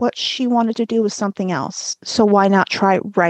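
The clip has a natural reading voice with fairly even intonation.

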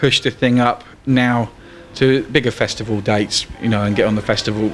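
A man with a London accent at medium pitch, fairly quick and fairly even in intonation, over noticeable background noise. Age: 30s. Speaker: blues guitarist and bandleader. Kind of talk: casual interview.

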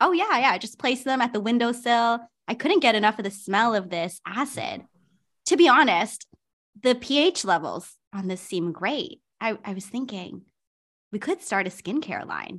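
At a moderate pace, a woman speaks with a fairly high pitch. Her voice makes very wide pitch swings. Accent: Canadian. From Canada. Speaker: reality TV contestant. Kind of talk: casual chat.

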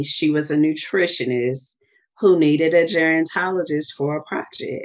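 A woman with a very deep, low pitch and a Southern US accent. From US South. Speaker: wellness coach and author. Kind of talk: casual interview.

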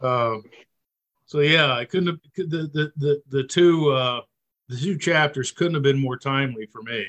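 A man with an unremarkable speaking voice talks at a fairly slow pace with a fairly high pitch. The sound is dry and close with no echo, and his pitch variation is ordinary. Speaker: class participant. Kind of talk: group discussion. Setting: video call.

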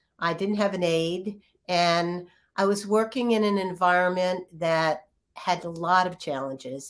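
On a very clean recording with a silent background, a woman talks in a normal speaking voice at a medium pitch with ordinary pitch variation. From Virginia. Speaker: clinical psychologist. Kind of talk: interview.

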